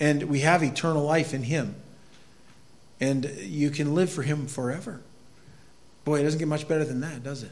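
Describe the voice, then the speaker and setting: A somewhat breathy man with an American accent and a fairly high pitch, plus audible room echo. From northern Maine, US. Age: 50s. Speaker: pastor. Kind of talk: sermon.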